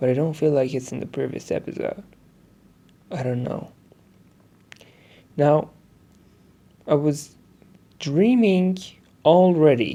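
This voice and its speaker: Someone with a non-native accent speaks at a fairly slow pace. Long, frequent pauses break up the speech. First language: not English. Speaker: diary podcaster. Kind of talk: personal diary monologue. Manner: halting.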